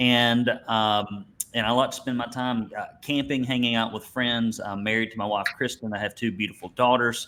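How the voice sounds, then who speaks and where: In an Alabama accent, a man with a medium-pitched voice speaks at a moderate pace with hardly any pauses. His intonation is monotone and flat. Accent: Southern US (Alabama). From US South, Alabama. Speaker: business coach for painting contractors. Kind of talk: webinar presentation.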